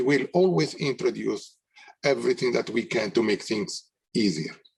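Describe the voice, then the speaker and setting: Moderate pace from a man with a strong non-native accent, a medium pitch and very wide pitch swings. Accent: thick foreign. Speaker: technology company representative. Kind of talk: webinar panel discussion.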